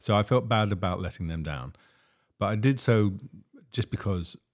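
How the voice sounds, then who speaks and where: Lively in intonation and fairly quick, a man speaks with vocal fry in a very clean recording with a silent background. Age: 60s. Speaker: podcast host and documentary film maker. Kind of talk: casual chat.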